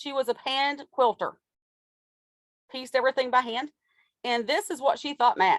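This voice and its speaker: A woman's high voice in an Appalachian accent, at a moderate pace with lively intonation, long, frequent pauses and a dry, close sound with no echo. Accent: Appalachian Southern US. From US South, Appalachian Kentucky. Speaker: fiber dyer and small business owner. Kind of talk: interview answers.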